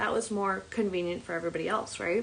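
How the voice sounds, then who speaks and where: Noticeable background noise accompanies a woman speaking fairly quickly. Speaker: self-empowerment coach. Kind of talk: livestream talk. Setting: live stream. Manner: animated.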